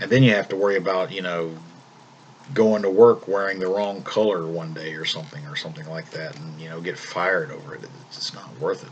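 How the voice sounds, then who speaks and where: Against noticeable background noise, a man with a slight Southern US accent and a very deep, low pitch talks at a fairly quick pace with lively intonation. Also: big swings in loudness. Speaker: vlogger. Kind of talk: casual monologue vlog. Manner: calm; halting, repeats words.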